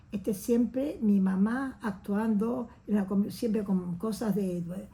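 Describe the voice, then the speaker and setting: A woman speaks very slowly at medium pitch, her tone dark, mellow, and somewhat breathy. Her loudness stays very even while her pitch varies in an ordinary way. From Uruguay. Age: 80s+. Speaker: oral history interviewee. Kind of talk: testimony. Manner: animated.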